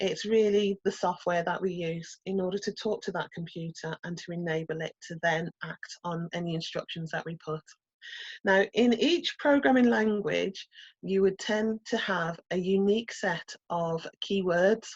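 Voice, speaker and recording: A woman with a Brummie accent speaks at a fairly slow pace in a medium pitch, somewhat breathy, with ordinary pitch variation and a dry, close sound with no echo. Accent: Brummie (Birmingham). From England, Birmingham. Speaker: coding instructor. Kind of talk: online workshop lecture.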